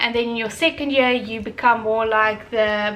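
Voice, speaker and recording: An Afrikaans accent at a moderate pace with fairly even intonation. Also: woman. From South Africa, Durban. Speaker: vlogger, chartered accountant. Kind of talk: casual vlog talk. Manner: unscripted, filler-heavy.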